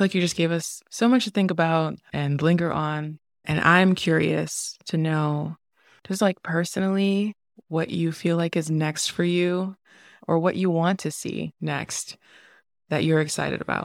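Recorded dry and close with no echo on a very clean track with a silent background, a woman with an American accent and a normal speaking voice talks at a fairly slow pace, with a fairly low pitch and fairly even intonation. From US, Haitian American family. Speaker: podcast host. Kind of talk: live podcast interview. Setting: stage with audience.

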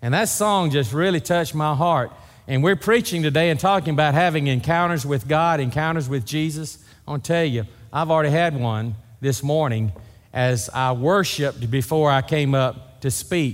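A man with a Southern US accent, at a moderate pace with very even loudness. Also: fairly high pitch for a man, ordinary pitch variation. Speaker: pastor. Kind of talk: sermon. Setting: church.

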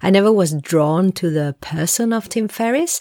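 A woman's voice comes through with a dry, close sound and no echo. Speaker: solo podcast host. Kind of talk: casual solo monologue. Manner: rambling, conversational with hesitations.

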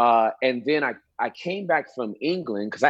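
Speaking with an American accent, a man uses an ordinary speaking voice with lively intonation at a moderate pace. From Southern California, Inglewood. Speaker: pastor and comedian. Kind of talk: casual chat. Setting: video call.

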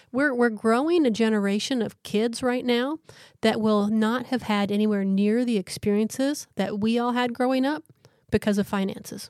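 At a moderate pace and very even loudness, an unremarkable speaking voice holds fairly even intonation in a very clean recording with a silent background. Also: woman, fairly high pitch for a woman. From small-town Canada. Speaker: podcast co-host. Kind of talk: casual chat.

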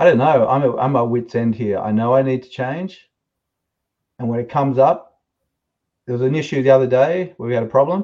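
A man at medium pitch speaks with ordinary pitch variation, big swings in loudness, and long, frequent pauses. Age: 50s. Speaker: caller, software company founder. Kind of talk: call-in question and confession.

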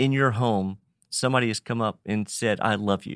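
A man with a Virginia accent speaks at a medium pitch and a moderate pace with fairly even intonation. The sound is dry and close with no echo, on a very clean recording with a silent background. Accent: Virginia Southern US. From Virginia, Roanoke. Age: 50s. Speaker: nonprofit ministry director. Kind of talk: interview.

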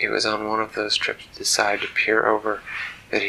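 Someone reads text out loud. It is plain reading aloud.

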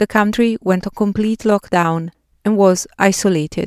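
Speaking at a fairly slow pace, a woman with an Italian accent keeps a fairly even intonation. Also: dry, close sound with no echo. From Italy. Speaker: podcast host. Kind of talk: personal narrative essay. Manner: reflective.

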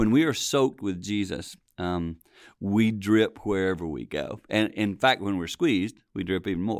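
A man with an ordinary speaking voice, fairly low in pitch, at a moderate pace and with lively intonation, on a very clean recording with a silent background. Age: 60s. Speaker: pastor and marriage ministry leader. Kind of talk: casual chat.

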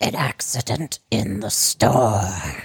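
A raspy, low-pitched put-on character voice carries the clip. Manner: mumbling.

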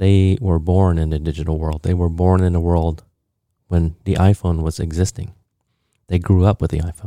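In a very clean recording with a silent background, the speaker uses a dark, mellow tone and monotone, flat intonation at a moderate pace, with long, frequent pauses. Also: man. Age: 40s. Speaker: podcast host and company founder. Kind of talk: solo monologue.

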